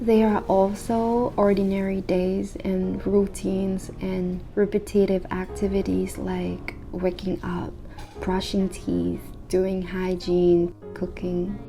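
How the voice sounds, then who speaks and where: A woman with a non-native accent speaks at a very slow pace over noticeable background noise. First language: not English. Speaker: vlogger. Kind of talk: reflective vlog monologue.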